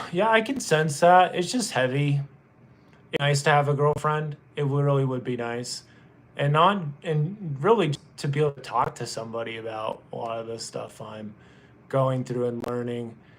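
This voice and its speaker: A man with an American accent speaks at a moderate pace in a fairly high voice, his intonation lively and his loudness swinging widely. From US South, North Carolina. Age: 20s. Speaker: livestreamer. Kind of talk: casual chat. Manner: subdued, defeated-sounding.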